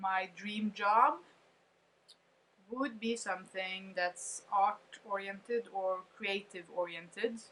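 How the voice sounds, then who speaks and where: Speaking with a non-native accent, a woman keeps a medium pitch and fairly even intonation. Her pace is very slow. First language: not English. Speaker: vlogger. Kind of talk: casual monologue reading from notes.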